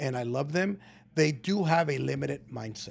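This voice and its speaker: Ordinary pitch variation shapes this speech, delivered at a moderate pace. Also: man. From Southern California (Inland Empire), born in Mexico. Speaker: real estate entrepreneur, former addict and inmate. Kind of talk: casual chat. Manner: animated.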